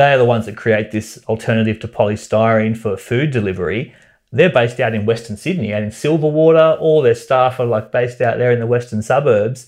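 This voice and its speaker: The voice carries an Australian accent and moves at a fairly quick pace. Pitch variation is ordinary, and the background is quiet. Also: man, medium pitch for a man. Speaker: environmentalist. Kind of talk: interview. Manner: animated.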